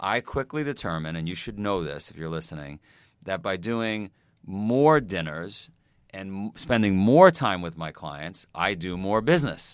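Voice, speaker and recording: At a fairly slow pace, a man with a very deep, low pitch and a New York accent speaks with lively intonation and big swings in loudness, in a very clean recording with a silent background. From US Northeast, Queens, New York. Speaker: fitness company founder. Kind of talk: casual chat.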